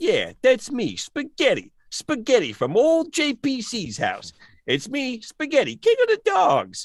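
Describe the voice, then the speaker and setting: In a put-on character voice, a man speaks at an extremely high pitch and a fairly slow pace over a quiet background. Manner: playful, boastful.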